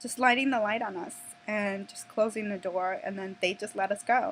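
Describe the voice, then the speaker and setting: A woman at medium pitch with a Minnesota accent and fairly even intonation. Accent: Minnesota American English. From Minnesota, US (Minneapolis and Plymouth). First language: Spanish. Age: 20s. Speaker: vlogger. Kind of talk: personal vlog storytelling. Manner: hesitant, many fillers and restarts.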